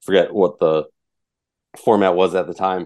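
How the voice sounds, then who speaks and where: Against a quiet background, a man with an American accent speaks in a very deep, low pitch. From Minnesota. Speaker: sports media founder and podcast host. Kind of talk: casual sports podcast interview.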